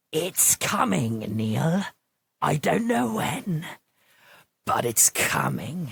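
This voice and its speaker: A man's raspy, put-on character voice at medium pitch, very slow, with long, frequent pauses and very even loudness. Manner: ominous, foreboding.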